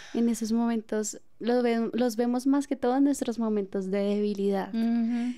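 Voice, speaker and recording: A woman's fairly high-pitched voice with a dark, mellow tone, a fairly slow pace, fairly even intonation and very even loudness. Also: hardly any pauses, quiet background. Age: 20s. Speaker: podcast host. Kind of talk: casual chat. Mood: warm, reflective. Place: studio. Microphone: studio mic.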